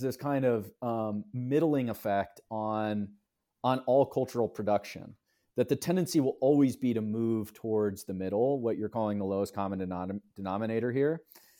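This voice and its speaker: The recording is very clean with a silent background. A man with a dark, mellow tone speaks at a moderate pace and medium pitch, with ordinary pitch variation. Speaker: publisher and writer. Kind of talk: casual interview conversation. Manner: thoughtful, uses fillers.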